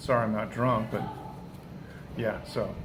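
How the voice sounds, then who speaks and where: A man talks at a fairly quick pace, with music in the background and audible room echo. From New Hampshire. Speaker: live streamer. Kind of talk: casual live stream chat. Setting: live stream from a friend's place. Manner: conversational, with self-corrections.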